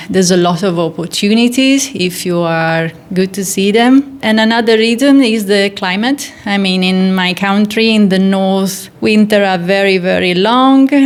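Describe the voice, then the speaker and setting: With an Italian accent, a woman at a medium pitch talks at a moderate pace with hardly any pauses and ordinary pitch variation, over noticeable background noise. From northern Italy, near Milan. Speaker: golf teacher and physiotherapist. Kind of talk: interview.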